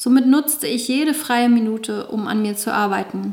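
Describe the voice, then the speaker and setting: Over noticeable background noise, a woman talks at a fairly slow pace with a fairly high pitch and ordinary pitch variation. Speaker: author reading own memoir, dance fitness instructor. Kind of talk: reading aloud of memoir chapter.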